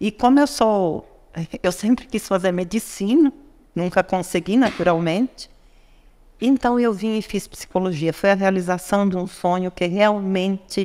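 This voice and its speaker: At a fairly slow pace, a woman speaks with a medium pitch and a dark, mellow tone. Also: ordinary pitch variation. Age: 60s. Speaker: businesswoman and psychology graduate. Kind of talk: podcast interview.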